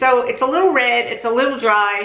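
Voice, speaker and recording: A woman speaks with ordinary pitch variation. Audible room echo and noticeable background noise are present. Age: 60s. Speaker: makeup artist and beauty vlogger. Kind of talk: product review tutorial. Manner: casual, conversational.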